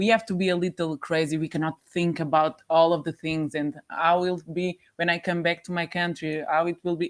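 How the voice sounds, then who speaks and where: A woman's fairly low, monotone and flat delivery in a Portuguese accent, fairly quick, with dry, close sound and no echo. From Portugal. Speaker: volunteer. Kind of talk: interview. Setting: studio. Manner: halting.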